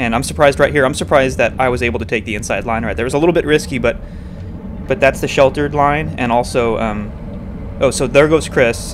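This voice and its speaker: Over noticeable background noise, the speaker talks at a very fast pace with lively intonation and an excited tone. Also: man, medium pitch for a man. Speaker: amateur racing cyclist and race commentator. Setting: recorded after the race as voiceover on video. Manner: tactical and opinionated, excited about the chase.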